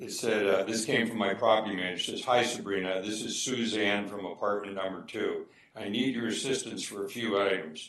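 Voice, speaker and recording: The speech moves at a fairly quick pace with hardly any pauses and fairly even intonation, over noticeable background noise. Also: man, fairly low pitch for a man. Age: 70s. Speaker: public commenter at council meeting. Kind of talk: public comment. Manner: halting.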